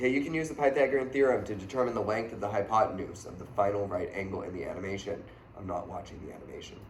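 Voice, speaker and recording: A man talks very fast at a fairly low pitch, his loudness rising and falling sharply and his pitch varying in an ordinary way. The room echo is audible, with light noise behind him. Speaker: math teacher. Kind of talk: tutorial. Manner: casual. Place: classroom. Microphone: camera far.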